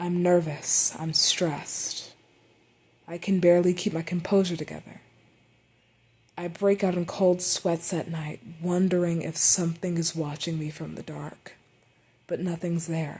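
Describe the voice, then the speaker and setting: At a fairly slow pace, the speaker's dark, mellow, somewhat breathy voice stays monotone and flat. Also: woman, fairly low pitch for a woman. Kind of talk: unscripted personal monologue.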